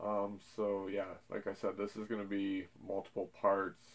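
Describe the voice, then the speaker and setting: This man's voice sits at a fairly low pitch. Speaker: collector channel host. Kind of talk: casual vlog chat. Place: home room.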